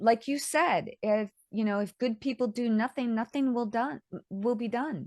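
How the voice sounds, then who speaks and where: In a plain, everyday voice, a woman speaks at a fairly high pitch with ordinary pitch variation and a moderate pace. The sound is dry and close with no echo. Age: 60s. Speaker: author. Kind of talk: interview.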